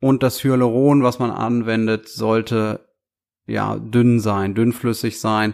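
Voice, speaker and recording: Fairly even intonation marks very slow speech on a very clean recording with a silent background. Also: man. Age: 30s. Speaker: aesthetic doctor. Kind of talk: podcast Q&A monologue. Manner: hesitant fillers.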